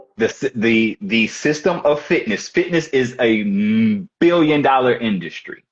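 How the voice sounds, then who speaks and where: Speaking at a fairly slow pace with a slight Midwestern accent, this voice has lively intonation, very even loudness and hardly any pauses. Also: man, medium pitch for a man. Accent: slightly country Midwestern. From St. Louis, Missouri, US. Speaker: fitness coach. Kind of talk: live coaching call. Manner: halting, many restarts.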